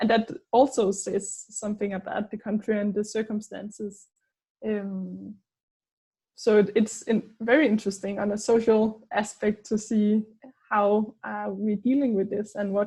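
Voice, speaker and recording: A dark, mellow voice with a Danish accent speaks at a fairly slow pace in a flat monotone, somewhat breathy. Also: woman, fairly high pitch for a woman. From Denmark. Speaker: anthropologist. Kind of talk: casual conversation. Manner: hesitant, many fillers.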